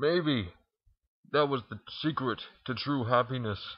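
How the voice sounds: This man has a medium pitch with ordinary pitch variation. A slightly husky edge runs through his voice. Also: fairly slow pace.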